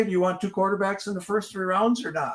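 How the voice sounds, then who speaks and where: At a very fast pace, a man with a high pitch talks with ordinary pitch variation. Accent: Wisconsin. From Wisconsin, Green Bay area. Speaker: fantasy sports livestream host. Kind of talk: casual livestream chat. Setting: livestream.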